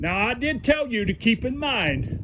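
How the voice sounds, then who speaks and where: Bright and sharp, the tone cuts through. It belongs to a man. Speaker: DIY video host. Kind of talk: tutorial. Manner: slow.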